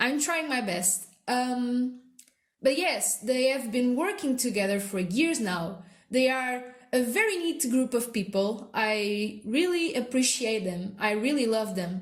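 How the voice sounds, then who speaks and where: A woman with a non-native accent speaks high and fairly slowly, with lively intonation. Room echo can be heard. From non-English-speaking country. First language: not English. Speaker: artist, video creator. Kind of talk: casual narration over speedpaint. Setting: at home. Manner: halting, many fillers.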